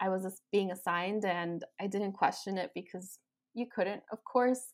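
With a Chicago accent, a woman talks at a fairly slow pace and a medium pitch. Her intonation is fairly even, and the recording is very clean with a silent background. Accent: Chicago American English. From Chicago, US Midwest. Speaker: bilingual speech-language pathologist. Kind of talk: interview. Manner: many 'um' fillers.

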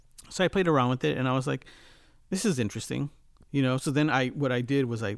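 A man with an American accent and vocal fry, very fast pace and lively intonation, on a very clean recording with a silent background. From Los Angeles, California. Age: 50s. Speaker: music producer and mixing engineer. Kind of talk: casual interview.

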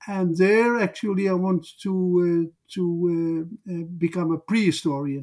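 This man talks with a Dutch accent at a fairly slow pace. His pitch is high and his intonation fairly even. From southern Netherlands. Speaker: social historian. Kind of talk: interview. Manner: halting.

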